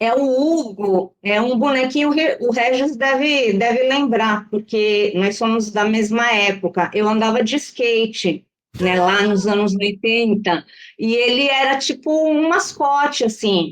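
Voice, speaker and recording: A woman's fairly high voice at a very slow pace, with very even loudness and ordinary pitch variation. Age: 60s. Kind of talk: casual chat.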